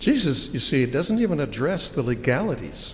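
A man with an unremarkable speaking voice and an American accent, at a moderate pace with lively intonation. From United States. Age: 60s. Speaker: pastor. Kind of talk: sermon. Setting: church.

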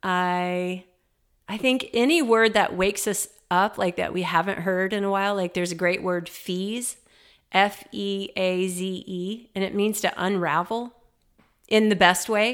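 A woman with a normal speaking voice, medium pitch, fairly even intonation and fairly slow pace, in a very clean recording with a silent background. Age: 50s. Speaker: writer and podcaster. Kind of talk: casual chat; reading aloud.

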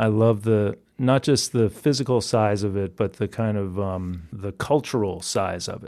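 A man with an American accent speaks in a dark, mellow tone at fairly low pitch, with fairly even intonation, on a very clean recording with a silent background. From Massachusetts, suburb of Boston. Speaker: singer-songwriter. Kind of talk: interview.

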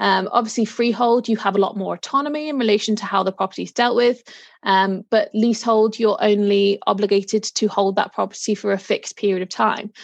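With a Liverpool accent, a woman talks at a fairly quick pace with hardly any pauses and fairly even intonation, recorded dry and close with no echo. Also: fairly high pitch for a woman, quiet background. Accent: Liverpool (Scouse) English. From Liverpool, England. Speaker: solicitor. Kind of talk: interview. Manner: hesitant, many fillers.

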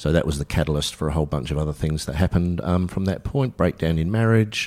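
With an Australian accent, a man speaks in a very deep, low pitch and a dark, mellow tone, his pitch varying in an ordinary way. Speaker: mental health centre volunteer. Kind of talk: personal testimony interview. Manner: casual, candid.

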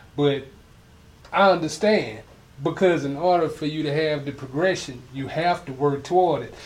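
With an American accent, a man speaks at a moderate pace in a fairly high, somewhat breathy voice, with ordinary pitch variation and big swings in loudness. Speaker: podcast host. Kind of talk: casual interview chat. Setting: in-person studio.

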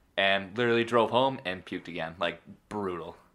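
A man with a Buffalo accent, bright, sharp tone and ordinary pitch variation, on a very clean recording with a silent background. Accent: Western New York (Buffalo). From Buffalo, New York area. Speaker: podcast co-host, gym worker. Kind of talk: casual chat.

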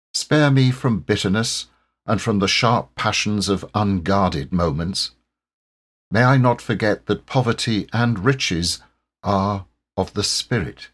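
A man with a normal speaking voice and fairly low pitch, very even loudness, a fairly slow pace, ordinary pitch variation, and a very clean recording over a silent background. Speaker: poem reader. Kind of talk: reading aloud a poem as a solemn, heartfelt prayer. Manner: slow, calm and gentle, reverent and tender.

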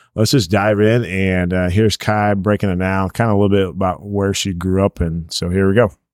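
A normal speaking voice with an American accent goes at a moderate pace. The recording is very clean, with a silent background and a dry, close sound with no echo. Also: man. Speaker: podcast host. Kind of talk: casual chat. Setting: home kitchen.

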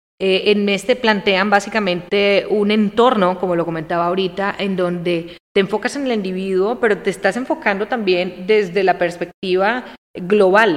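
Using an ordinary speaking voice, a woman talks at a medium pitch and moderate pace with ordinary pitch variation and hardly any pauses. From Colombia, coffee region (Armenia, Quindío). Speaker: business consultant. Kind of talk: casual interview chat.

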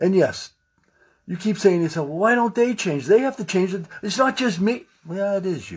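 Loud and animated, a man talks at a moderate pace and a high pitch with lively intonation. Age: 60s. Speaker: podcast host, wellness coach. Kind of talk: motivational monologue.

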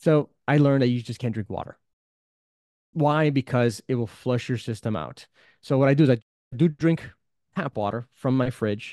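The man's dark, mellow tone comes through dry and close with no echo, marked by long, frequent pauses. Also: medium pitch for a man, ordinary pitch variation, moderate pace. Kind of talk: casual chat.

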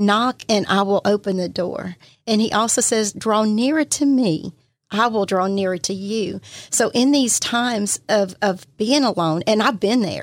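A woman with a Southern US accent talks at a fairly slow pace and a fairly high pitch. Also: ordinary pitch variation, very clean recording, silent background. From Mississippi, Pascagoula. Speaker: church minister. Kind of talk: testimony. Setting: studio.

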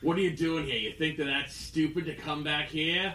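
Using a put-on character voice, a man speaks gruff and raised, projected, at a fairly high pitch and a moderate pace over light background noise. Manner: suspicious, confrontational.

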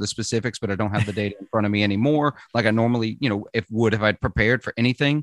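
Dry and close with no echo, a man's voice comes through against a quiet background. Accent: slight Southern US. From Mississippi, US South. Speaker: podcast host. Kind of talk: casual chat.

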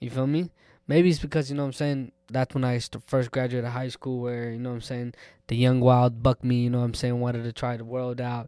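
A man talks very fast in a medium-pitched voice with monotone, flat intonation. The recording is very clean, with a silent background. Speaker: podcast co-host. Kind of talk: casual chat.

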